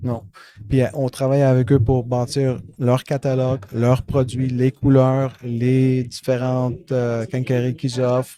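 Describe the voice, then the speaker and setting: Speaking at a very slow pace, a man with a dark, mellow tone and medium pitch keeps a monotone, flat intonation. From Montreal West Island, Quebec. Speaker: software company founder. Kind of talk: podcast interview. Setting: at a trade event. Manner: hesitant, many fillers.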